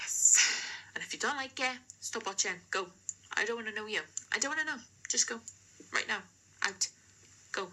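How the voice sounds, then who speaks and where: In a South Wales accent, a woman talks at a fairly quick pace with long, frequent pauses. Her pitch is fairly high, with ordinary variation. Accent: South Wales Valleys. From Wales, the Valleys. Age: 20s. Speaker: amateur painter, vlogger. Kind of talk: casual chat to camera. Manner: hesitant, many fillers.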